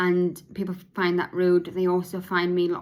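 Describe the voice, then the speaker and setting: A woman speaks at a fairly low pitch with a British accent. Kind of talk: podcast monologue, partly read from notes. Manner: slurred, halting speech.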